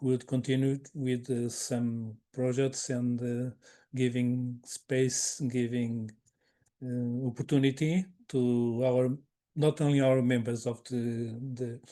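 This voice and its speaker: A man speaks very slowly at a medium pitch, in a dark, mellow tone. His intonation is monotone and flat. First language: not English. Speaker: webinar moderator. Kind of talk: closing remarks of online webinar. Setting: online webinar. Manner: halting, many repetitions.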